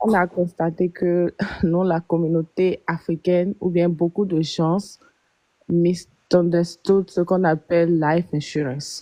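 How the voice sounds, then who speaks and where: A woman with a fairly low pitch talks at a very slow pace in a monotone, flat intonation, her loudness very even throughout. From Benin. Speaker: life insurance agent. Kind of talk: live stream explanation. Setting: live stream.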